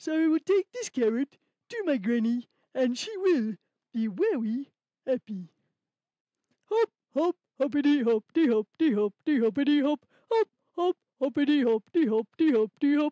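A female-sounding cartoonish character voice speaks at a high pitch and a moderate pace, with long, frequent pauses. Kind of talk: children's puppet show. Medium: puppet.

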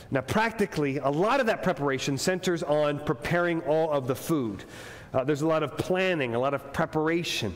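The pace is fairly quick as a man speaks. His loudness stays very even. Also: ordinary pitch variation. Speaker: pastor. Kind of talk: sermon. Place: church. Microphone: lapel.

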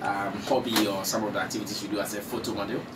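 A man's fairly low voice at a very fast pace, fairly even in intonation, over clear background noise

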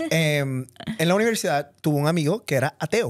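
Moderately paced speech from a man with a Puerto Rican accent, fairly high in pitch with ordinary pitch variation, dry and close with no echo, in a very clean recording with a silent background. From Puerto Rico. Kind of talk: casual chat.

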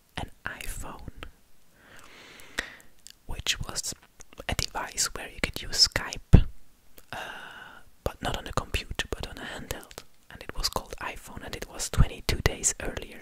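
A man whispers at a fairly slow pace with big swings in loudness. He leaves long, frequent pauses. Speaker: ASMR content creator. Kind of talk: whispered ASMR facts narration. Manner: whispering, soft. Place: studio. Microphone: studio mic.

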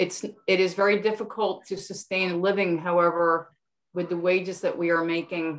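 A woman speaks in a flat, monotone way against a quiet background. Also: medium pitch for a woman, moderate pace. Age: 60s. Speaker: community support professional. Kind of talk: community forum question. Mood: earnest, concerned. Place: home room. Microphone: webcam.

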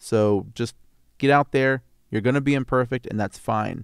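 Fairly even intonation from a man at a moderate pace, with a dry sound with no echo and a quiet background. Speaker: voice actor. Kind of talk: casual talk to camera. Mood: earnest, encouraging. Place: home room. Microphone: studio mic.

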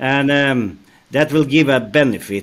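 A man with a Norwegian accent speaks at a fairly slow pace and a fairly high pitch. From Norway. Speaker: rail company executive, former signaling engineer. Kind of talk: interview. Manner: halting, many fillers. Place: office. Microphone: headset.

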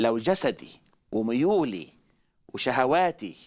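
Behind a man's talking, the background stays quiet. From Egypt. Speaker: traveling evangelist preacher; guest teacher on religious show. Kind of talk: religious talk show discussion. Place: studio. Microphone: headset.

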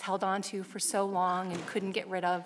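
This is a woman's voice. She speaks at a moderate pace. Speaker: council presenter. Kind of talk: presentation. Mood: earnest, informative. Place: hall. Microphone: podium.

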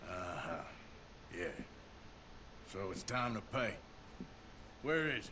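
Over loud background noise, a man uses a gruff, put-on character voice at medium pitch, speaking fairly slowly with long, frequent pauses. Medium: video game. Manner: gruff, blunt, impatient.

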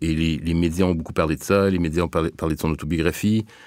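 A man talks at a fairly quick pace. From Quebec, Montreal suburbs. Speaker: university professor. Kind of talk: interview. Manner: hesitant, many fillers.

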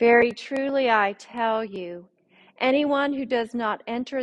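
Speaking at a fairly slow pace, a woman shows ordinary pitch variation. Behind her, the background is quiet. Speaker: pastor. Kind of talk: scripture reading. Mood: calm, solemn. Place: church. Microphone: podium.

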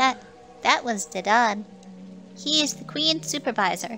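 A female-sounding, put-on character voice at a fairly high pitch, with clear background noise. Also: moderate pace. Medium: game stream. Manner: timid, deferential.

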